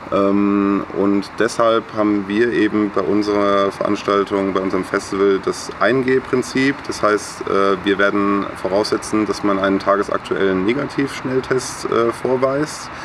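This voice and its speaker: Over noticeable background noise, a man with a fairly low pitch talks at a fairly slow pace with fairly even intonation and hardly any pauses. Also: very even loudness. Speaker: student and volunteer concert organizer. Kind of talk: casual interview. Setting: outdoors in a garden. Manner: hesitant with many fillers.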